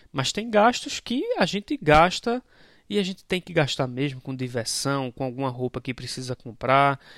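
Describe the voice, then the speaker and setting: A man with a Brazilian accent speaks at a moderate pace and fairly high pitch with lively intonation. The recording is very clean, with a silent background and a dry, close sound with no echo. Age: 30s. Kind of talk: spiritual reflection podcast. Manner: conversational, informal.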